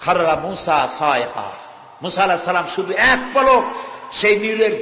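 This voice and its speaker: A man projects a raised voice while noticeable background noise carries on around him. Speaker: Islamic preacher. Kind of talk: religious sermon.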